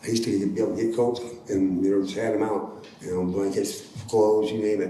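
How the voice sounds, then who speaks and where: Very fast and monotone, a man speaks amid noticeable background noise and audible room echo. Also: fairly low pitch for a man. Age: 60s. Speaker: formerly homeless housing resident. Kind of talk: casual interview conversation.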